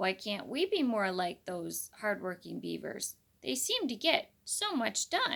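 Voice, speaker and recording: A woman performs a put-on character voice at a medium pitch. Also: fairly slow pace. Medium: read story. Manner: kindly but firm.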